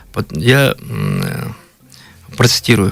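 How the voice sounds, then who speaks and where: A man is speaking. Music plays in the background. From Kalmykia, Russia. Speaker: blogger, history storyteller. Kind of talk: radio interview, history storytelling. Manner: halting, many fillers.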